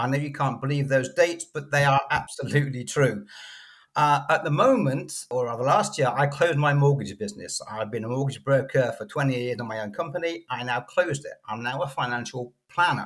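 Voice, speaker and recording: Here a man with a British accent speaks at a fairly quick pace. His voice sits at a fairly high pitch. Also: ordinary pitch variation. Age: 60s. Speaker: financial coach. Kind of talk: podcast interview.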